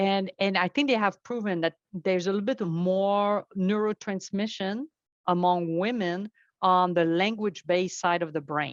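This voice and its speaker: In a French accent, a woman speaks at a moderate pace and a medium pitch with ordinary pitch variation. The sound is dry and close with no echo against a quiet background. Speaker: network architect and tech instructor. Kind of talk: podcast interview.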